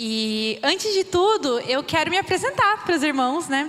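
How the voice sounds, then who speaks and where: A woman with lively intonation at a fairly slow pace, over noticeable background noise. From Brazil, interior of São Paulo state (Birigui). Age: 20s. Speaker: missionary. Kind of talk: church missions talk.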